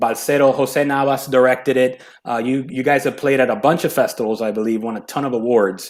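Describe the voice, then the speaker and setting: In a very clean recording with a silent background, a man with a medium pitch and a Miami accent speaks at a fairly quick pace, with fairly even intonation and hardly any pauses. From Hialeah, Florida. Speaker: podcast host. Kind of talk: interview. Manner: casual.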